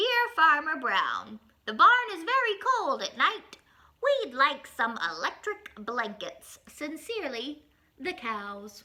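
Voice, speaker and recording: A woman puts on a character voice, high-pitched and delivered at a fairly slow pace. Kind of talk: children's picture-book reading. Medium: read story.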